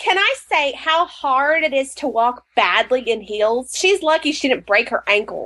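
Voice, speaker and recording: A woman projects a raised, high voice with a bright, sharp tone and very wide pitch swings. She goes at a fairly slow pace with hardly any pauses and very even loudness. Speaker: podcast co-host. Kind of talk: casual chat.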